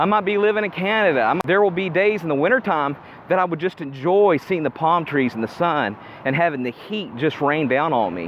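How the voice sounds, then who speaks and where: A high-pitched man talks at a fairly quick pace, his intonation lively. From Appalachia, US. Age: 40s. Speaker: self-improvement vlogger. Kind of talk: casual vlog monologue. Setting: outdoors, walking in the sun.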